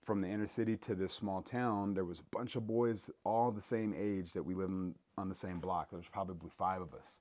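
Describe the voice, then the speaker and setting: A man with an American accent talks at a moderate pace in a plain, everyday voice, fairly low in pitch with fairly even intonation. The recording is very clean, with a silent background. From US Pacific Northwest, Seattle. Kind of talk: casual chat. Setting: outdoors in the Rocky Mountains.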